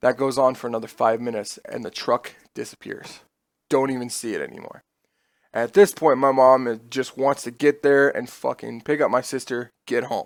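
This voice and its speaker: On a very clean recording with a silent background, a man with an American accent speaks at a moderate pace and medium pitch with fairly even intonation. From US Midwest (Nebraska, then Iowa). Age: 20s. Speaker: streamer. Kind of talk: storytelling. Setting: home streaming room. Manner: casual, with fillers and swearing.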